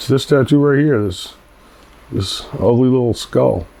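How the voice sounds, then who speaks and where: A man with an American accent, amid noticeable background noise. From Queens, New York. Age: 40s. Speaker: tattoo artist. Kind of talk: documentary interview, casual storytelling. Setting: outdoors on a city street. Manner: casual, filler-heavy.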